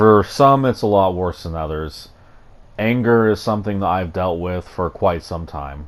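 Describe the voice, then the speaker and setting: A man talks in a very deep, low pitch. He speaks with an American accent. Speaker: YouTuber. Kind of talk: vlog commentary. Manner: halting.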